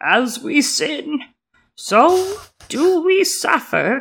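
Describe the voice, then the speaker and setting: A woman uses a put-on character voice with a high pitch. She talks at a very slow pace. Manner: intoning, solemn.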